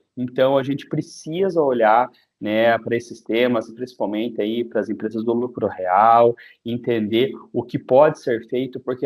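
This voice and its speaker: A man with a strong Paraná accent speaks at a medium pitch and a moderate pace, his intonation fairly even. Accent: strong interior Paraná. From interior of Paraná, Brazil. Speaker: tax lawyer and accountant. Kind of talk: webinar presentation. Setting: online webinar.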